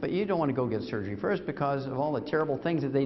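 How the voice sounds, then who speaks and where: Lively intonation with audible room echo. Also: man. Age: 70s. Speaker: doctor and supplement company founder lecturing. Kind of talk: sales lecture. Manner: animated.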